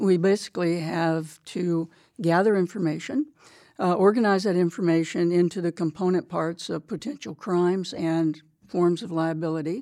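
A woman with an American accent speaks at a fairly low pitch in a dark, mellow tone, on a very clean recording with a silent background. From small town, US. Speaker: military lawyer and prosecutor. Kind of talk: interview. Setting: studio.

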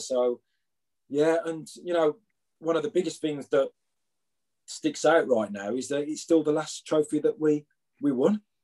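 This man speaks with a Birmingham accent in a dark, mellow tone. His pitch is fairly high, with ordinary variation. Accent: Birmingham (Brummie). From Birmingham, England. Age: 50s. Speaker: former footballer. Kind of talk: interview. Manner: hesitant, many fillers.

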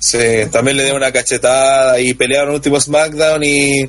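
Noticeable background noise sits behind a man who speaks at a moderate pace and a fairly high pitch, with fairly even intonation. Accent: Chilean. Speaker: wrestling podcast panelist. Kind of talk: casual chat. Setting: online voice call.

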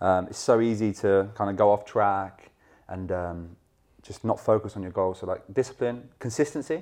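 Against a quiet background, a man with a southern English accent speaks at a moderate pace and fairly low pitch, with ordinary pitch variation and big swings in loudness. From southern England, Hertfordshire. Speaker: football brand ambassador. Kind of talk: casual interview.

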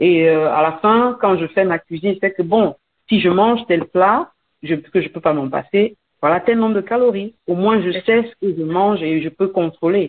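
Her pitch is medium, with ordinary variation. The woman speaks at a fairly slow pace. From Cameroon. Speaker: entrepreneur and author. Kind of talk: radio interview. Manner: hesitant, many fillers and repetitions.

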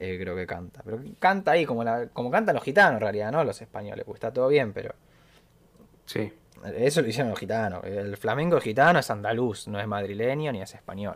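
An unremarkable speaking voice at a fairly quick pace, with lively intonation. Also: man, medium pitch for a man. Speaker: music podcast host. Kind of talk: casual chat.

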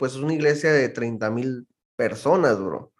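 A man with a Baja California accent speaks at a very slow pace, his fairly high pitch showing ordinary variation. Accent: northern Mexican Spanish (Baja California). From Mexicali, Baja California, Mexico. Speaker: church musician and producer. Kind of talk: casual chat.

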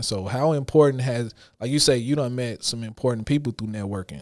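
In a very clean recording with a silent background, a man at a medium pitch talks at a fairly quick pace. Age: 30s. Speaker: podcast host. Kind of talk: casual chat.

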